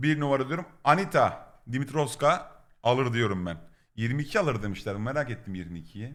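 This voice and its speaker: This man speaks in an animated tone at a medium pitch, his pitch swinging very widely. His pace is fairly slow. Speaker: Twitch streamer. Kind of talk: live stream reaction.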